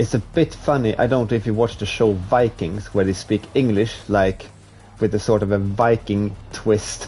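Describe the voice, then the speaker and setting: Over music in the background, a man with a fairly low pitch and a Swedish accent speaks at a moderate pace, with fairly even intonation and very even loudness. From Sweden, Stockholm. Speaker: video game streamer. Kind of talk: live gameplay stream chat. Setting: live stream.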